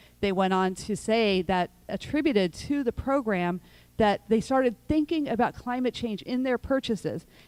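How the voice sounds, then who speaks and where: With a plain, everyday voice, a woman speaks at a moderate pace with lively intonation and fairly high pitch, in a dry, close sound with no echo. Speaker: nonprofit founder and panel speaker. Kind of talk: prepared talk at public forum.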